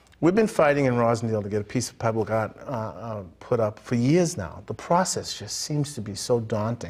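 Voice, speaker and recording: A man speaks at a moderate pace with an American accent, his intonation lively. His voice is somewhat breathy, and he hardly pauses at all. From Boston. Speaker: TV arts show host. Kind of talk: live TV talk show. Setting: TV studio. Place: studio. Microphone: lapel.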